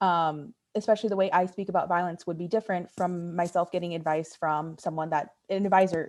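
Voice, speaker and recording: A woman with a normal speaking voice talks at a fairly quick pace, her medium pitch moving in fairly even intonation against a quiet background. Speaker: undergraduate honors student. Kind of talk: panel discussion.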